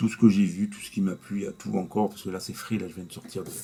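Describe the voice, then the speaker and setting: A man's dark, mellow tone at a very fast pace. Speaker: YouTuber, movie reviewer. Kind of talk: casual vlog review. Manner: halting; soft-spoken.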